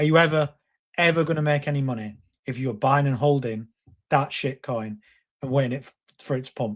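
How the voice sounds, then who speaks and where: With a Lancashire accent, a man talks at a fairly quick pace and a fairly high pitch. His tone is animated, with ordinary pitch variation. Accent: Bolton. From northern England, Bolton. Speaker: crypto YouTuber. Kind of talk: live stream talk.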